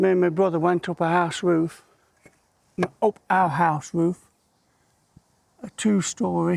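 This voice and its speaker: A man's high-pitched voice with fairly even intonation, a fairly slow pace and long, frequent pauses, in a dry, close sound with no echo. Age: 60s. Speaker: car care YouTuber. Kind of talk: casual chat. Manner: chatty, rambling storytelling.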